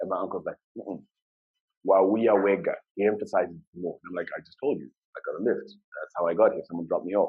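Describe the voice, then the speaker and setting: A man speaks at a very fast pace with a Zimbabwean accent. His loudness swings a lot. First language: Shona. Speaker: UX design lead, conference speaker. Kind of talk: conference talk. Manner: fast when excited.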